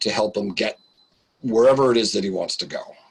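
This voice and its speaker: A man speaks at a moderate pace. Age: 60s. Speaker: business coach. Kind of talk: interview.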